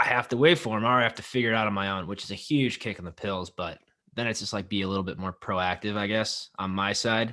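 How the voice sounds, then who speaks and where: In a very clean recording with a silent background, a man speaks loudly and very fast, his tone bright and sharp and his pitch varying normally. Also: fairly low pitch for a man. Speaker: podcast co-host. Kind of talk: casual chat.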